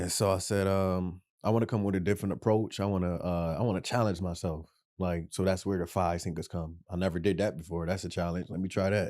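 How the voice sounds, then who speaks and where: Very deep and low in pitch, a man talks at a very fast pace with fairly even intonation and a dark, mellow tone in a very clean recording with a silent background. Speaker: rapper. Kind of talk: casual chat.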